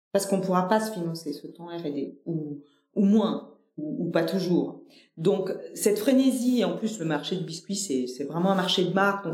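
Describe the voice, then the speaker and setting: Room echo can be heard as a woman speaks at a moderate pace. Her pitch is medium and her intonation lively. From Nîmes, southern France. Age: 40s. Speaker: company director. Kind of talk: interview conversation. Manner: hesitant, many fillers and repetitions.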